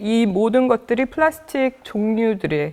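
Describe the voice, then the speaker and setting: A woman speaks with an American accent. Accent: non-native Korean, Korean American. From United States (Korean American, emigrated from Busan as a child). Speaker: media artist and researcher, lecturer. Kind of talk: lecture. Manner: halting, many fillers.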